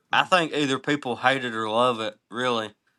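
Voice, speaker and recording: A man at a moderate pace and a medium pitch. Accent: Eastern Kentucky. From Eastern Kentucky. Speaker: musician. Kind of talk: casual chat.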